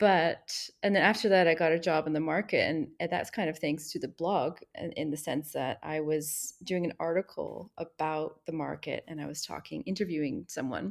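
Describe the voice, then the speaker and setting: In a plain, everyday voice, a woman with a Canadian accent speaks at a fairly low pitch with ordinary pitch variation. She keeps a moderate pace with hardly any pauses. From Montreal, Quebec (anglophone). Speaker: expat content creator. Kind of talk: interview.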